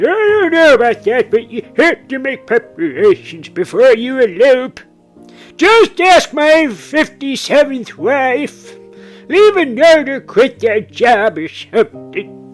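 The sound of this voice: Faint music plays in the background as a man does a put-on character voice. He speaks at a fairly slow pace.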